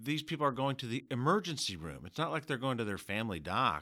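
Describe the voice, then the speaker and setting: In a very clean recording with a silent background, a man uses an ordinary speaking voice at a fairly high pitch and moderate pace. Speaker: lawyer. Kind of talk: podcast interview.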